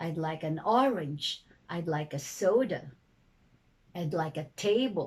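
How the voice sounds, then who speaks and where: A woman uses a put-on character voice, fairly low in pitch and sing-song. She talks at a fairly slow pace with long, frequent pauses. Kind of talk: declarative statements, language-teaching demo. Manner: rising-falling intonation, sing-song pattern.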